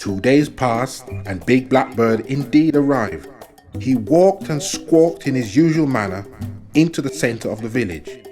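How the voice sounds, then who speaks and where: Medium-pitched male voice at a moderate pace, lively intonation, music playing behind. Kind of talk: folk tale reading.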